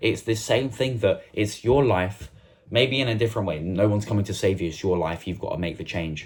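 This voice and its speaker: A man with a fairly low pitch speaks at a fairly quick pace in a somewhat breathy voice. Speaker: self-improvement YouTuber. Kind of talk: motivational talk to camera. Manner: fast; passionate, animated.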